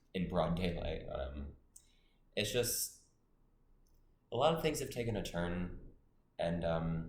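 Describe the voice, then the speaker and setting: A man's very deep, low-pitched and somewhat breathy voice, fairly slow with long, frequent pauses and lively intonation, in audible room echo. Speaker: college student vlogger. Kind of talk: vlog monologue. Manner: hesitant, many fillers.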